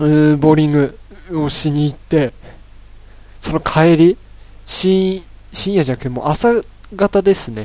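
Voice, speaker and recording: Lively in intonation, a man talks in a dark, mellow tone at a fairly high pitch. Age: 20s. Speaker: solo podcast host, university student. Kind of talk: casual solo talk. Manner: rambling, filler-heavy.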